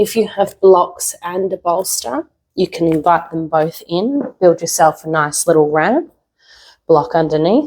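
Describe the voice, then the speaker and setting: Fairly slow speech with ordinary pitch variation. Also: woman, fairly low pitch for a woman. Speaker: yoga teacher. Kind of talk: guided yoga practice. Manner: soft-spoken.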